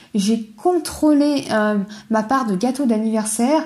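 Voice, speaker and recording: High for a woman, her voice has a dark, mellow tone and ordinary pitch variation. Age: 20s. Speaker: podcaster sharing personal eating disorder story. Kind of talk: personal testimony monologue. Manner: casual, hesitant with fillers. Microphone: poor sound quality, older recording setup.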